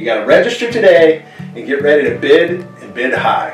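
Against faint background music and audible room echo, a man with a high voice talks at a moderate pace, his pitch swinging very widely. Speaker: auctioneer. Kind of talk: casual promotional message to camera. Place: home room.

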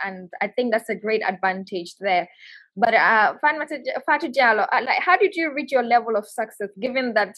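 In an unremarkable speaking voice, a woman talks at a moderate pace with fairly high pitch and lively intonation against a quiet background. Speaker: webinar moderator, actress and journalist; webinar moderator, actress, journalist. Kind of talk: moderated panel discussion. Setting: video call webinar. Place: home room. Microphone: video call.

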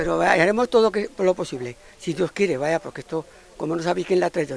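The speech races along at a very fast pace with lively intonation. The sound is dry with no echo, over light background noise. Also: man. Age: old. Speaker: village cook; interviewee. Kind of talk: interview. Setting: outdoors. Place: street. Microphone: handheld.

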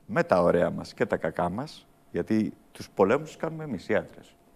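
Vocal fry marks this man's voice as he speaks at a moderate pace, his pitch swinging very widely. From Germany, son of Greek immigrants. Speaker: theatre director; theatre director or actor guest. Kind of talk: interview. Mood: thoughtful, serious. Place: studio. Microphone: lapel.

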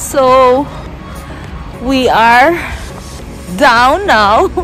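A woman speaks at a high pitch, with clear music in the background. The sound is dry, with no echo. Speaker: travel vlogger. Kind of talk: casual vlog chat. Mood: happy, excited. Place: street. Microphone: phone near.

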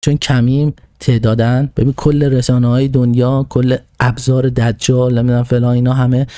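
Dry with no echo, a man's dark, mellow voice holds a very even loudness and flat, monotone intonation. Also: medium pitch for a man, moderate pace, quiet background. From Iran. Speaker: political commentator; podcast host. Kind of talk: monologue talking to himself. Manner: halting. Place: home room. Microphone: studio mic.

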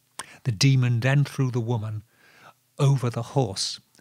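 An unforced reading voice with fairly even intonation, over a quiet background.

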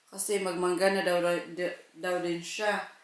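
Audible room echo surrounds a woman's voice. She speaks at a fairly slow pace with fairly even intonation. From Philippines, Cebu; Philippines. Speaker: family vlogger. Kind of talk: vlog talk to camera. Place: kitchen. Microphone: phone near.

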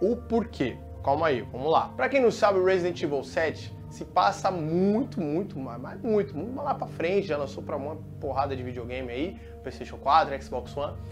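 Clear music in the background behind a man's moderate pace. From Brazil. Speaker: TV presenter. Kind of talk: casual talk to camera. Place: studio. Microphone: lapel.

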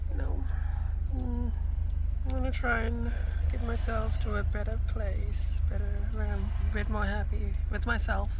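Delivered at a moderate pace, the speech has a dry sound with no echo and noticeable background noise. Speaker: vlogger. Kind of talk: personal reflective vlog talk. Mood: low, introspective, sad. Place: car. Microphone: phone near.

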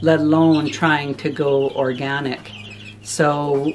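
There is light background noise as a woman speaks in a very deep, low pitch. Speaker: homesteading vlogger. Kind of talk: casual vlog chat. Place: home room. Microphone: phone near.

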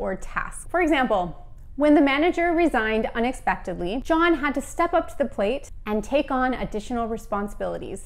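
A high-pitched woman with an American accent speaks with lively intonation. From United States. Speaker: English teacher. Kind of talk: educational lesson to camera. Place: home room. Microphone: lapel.

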